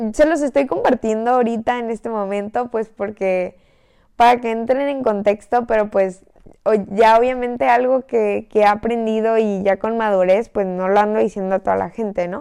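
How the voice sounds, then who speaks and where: A woman is speaking with a fairly high pitch. Her pitch variation is ordinary. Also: moderate pace. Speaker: podcast host. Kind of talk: casual chat. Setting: in bed at home. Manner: lying down while talking.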